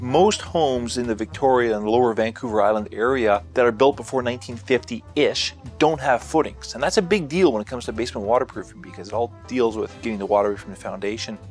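Over faint music in the background, a man talks at a fairly quick pace in a dry recording with no echo. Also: big swings in loudness. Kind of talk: interview answer. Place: studio.

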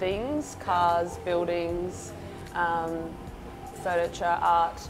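A woman's fairly low, flat, monotone voice at a very slow pace, with clear music in the background. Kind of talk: interview answer. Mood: relaxed, warm. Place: cafe.

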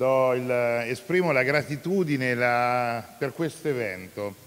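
In an ordinary speaking voice, a man talks at a medium pitch with ordinary pitch variation. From Italy. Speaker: city councillor. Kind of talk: formal welcome speech. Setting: hall with live audience. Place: hall. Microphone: handheld.

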